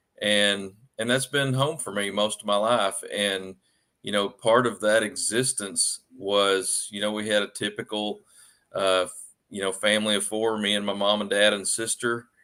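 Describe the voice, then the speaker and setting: A man with an Arkansas accent, fairly low in pitch, at a moderate pace with fairly even intonation. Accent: Southern US (Arkansas). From Arkansas, US South. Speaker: author. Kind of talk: podcast interview. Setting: livestream podcast.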